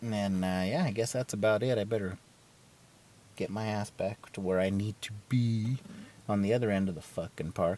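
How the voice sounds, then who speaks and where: With a dark, mellow tone and fairly low pitch, a man talks at a moderate pace and keeps his intonation fairly even. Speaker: podcast host. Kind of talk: casual monologue. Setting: outdoors in a park. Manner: rambling, loose.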